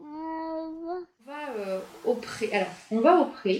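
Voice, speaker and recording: The woman's voice is somewhat breathy. Her intonation is lively. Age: 40s. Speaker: nurse and equine therapist. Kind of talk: interview.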